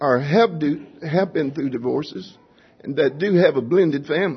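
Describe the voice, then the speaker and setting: Somewhat breathy, a man talks at a fairly high pitch with lively intonation. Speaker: church member giving testimony. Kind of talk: testimony. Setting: church.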